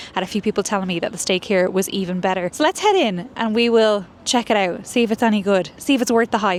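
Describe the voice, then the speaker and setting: Speaking at a very fast pace with hardly any pauses, a woman with an American accent uses a medium pitch with ordinary pitch variation. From Ireland. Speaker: food vlogger. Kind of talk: casual vlog narration. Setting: restaurant.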